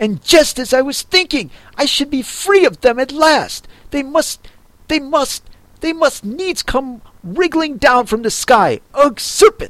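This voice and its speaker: Putting on a shrill character voice, a woman speaks high and fairly slowly, her pitch swinging very widely between long, frequent pauses. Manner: shrieking.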